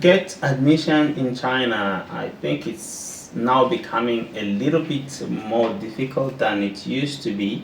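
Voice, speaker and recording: A man with a French accent, medium pitch, lively intonation and a fairly slow pace, hardly any pauses, music in the background and audible room echo. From Burundi. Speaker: postdoctoral researcher. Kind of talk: interview. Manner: halting, repeats words.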